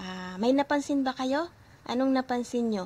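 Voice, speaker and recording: There is a somewhat breathy quality to this woman's voice. Her intonation rises and falls in a lively way. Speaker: language teacher. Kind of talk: tutorial. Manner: slow.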